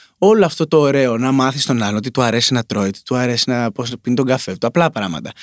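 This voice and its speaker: On a very clean recording with a silent background and a dry, close sound with no echo, a man talks very fast at a medium pitch with lively intonation. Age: 30s. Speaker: singer-songwriter. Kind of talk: casual chat.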